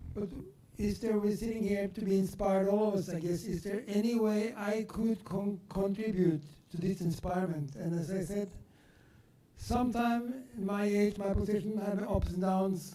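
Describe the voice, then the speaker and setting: Here a man speaks at a high pitch with a dark, mellow tone. His intonation stays fairly even. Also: moderate pace. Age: 70s. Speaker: audience member at a talk. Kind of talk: audience question and comment.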